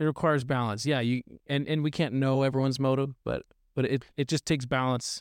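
A man speaks at a very fast pace and medium pitch, with monotone, flat intonation. His loudness stays very even, and the sound is dry and close with no echo. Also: very clean recording, silent background. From Arkansas. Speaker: minister. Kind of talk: casual chat.

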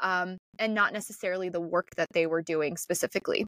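A woman speaks with a Midwestern American accent. The sound is dry and close with no echo, in a very clean recording with a silent background. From Northeast Ohio. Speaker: podcast co-host. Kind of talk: casual chat.

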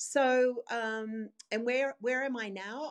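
A woman speaks in an Australian accent. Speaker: dietitian. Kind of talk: interview.

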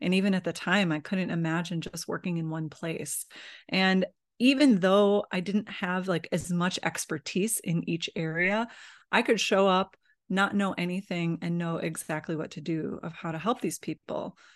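Speaking at a moderate pace with a Midwestern American accent, a woman with a fairly low pitch and ordinary pitch variation is heard against a quiet background, the sound dry and close with no echo. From US Midwest. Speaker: holistic nurse and massage therapist. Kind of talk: casual interview.

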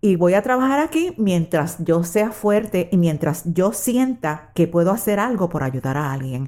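A woman speaks at a fairly slow pace in a dark, mellow tone. The recording is very clean, with a silent background. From Puerto Rico. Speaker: retired social worker. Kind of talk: personal testimony.

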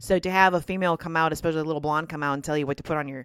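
With an American accent, a woman speaks in a very deep, low pitch with ordinary pitch variation, and the sound is dry and close with no echo. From Minnesota. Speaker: podcast host and farmer. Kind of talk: casual monologue. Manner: halting, repeats words.

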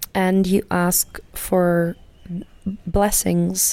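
A woman talks with a German accent. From Germany. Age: 30s. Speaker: podcast host, healer and teacher. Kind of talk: solo podcast monologue. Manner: warm; halting.

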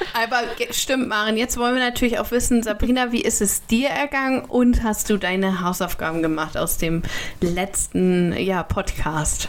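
Noticeable background noise sits behind a woman speaking at a moderate pace. Her fairly high pitch carries lively intonation, and her loudness stays very even. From northern Germany, Kiel. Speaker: podcast co-host. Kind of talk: casual chat.

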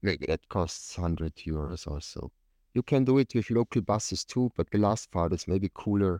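In an Austrian accent, a man speaks at a fairly slow pace with a very deep, low pitch, a dark, mellow tone and lively intonation, the sound dry and close with no echo on a very clean recording with a silent background. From Tyrol, Austria. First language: German. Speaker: professional climber. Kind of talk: casual interview conversation.

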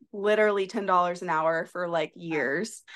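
Against a quiet background, a woman with an American accent speaks at a moderate pace in an ordinary speaking voice with ordinary pitch variation. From US South, South Carolina. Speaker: occupational therapist and content creator. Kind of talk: casual chat. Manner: laughs often.

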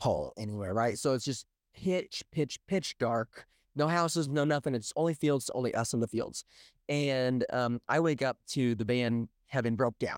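The speaker has an American accent and talks at a moderate pace with ordinary pitch variation and very even loudness. The recording is very clean, with a silent background and a dry, close sound with no echo. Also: man, medium pitch for a man. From US Midwest, Southwest Missouri (near Springfield). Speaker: podcast co-host. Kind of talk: casual chat.

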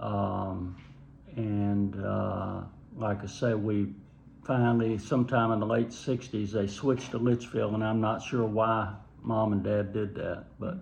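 A man with a Southern US accent talks at a fairly slow pace, fairly low in pitch, with fairly even intonation. Noticeable background noise and audible room echo are present. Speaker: homeowner recalling family vacations. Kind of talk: casual interview, storytelling.

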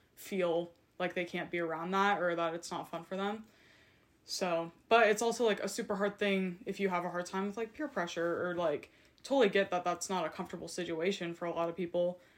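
With a normal speaking voice, a woman talks at a fairly quick pace, her fairly low pitch held in fairly even intonation. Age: 20s. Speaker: university student. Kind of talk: casual chat.

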